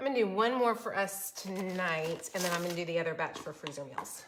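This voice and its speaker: An animated woman with an American accent speaks with lively intonation. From Florida. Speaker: cooking channel host. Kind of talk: live-streamed cooking tutorial and chat with viewers. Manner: fast.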